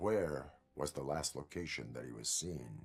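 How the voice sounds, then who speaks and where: A man uses a put-on character voice at a moderate pace. His pitch is very deep and low. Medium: video game. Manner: formal, deadpan, no contractions.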